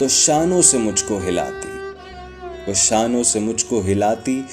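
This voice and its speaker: A man is speaking. Music plays in the background. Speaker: poetry reciter. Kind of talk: poetry reading.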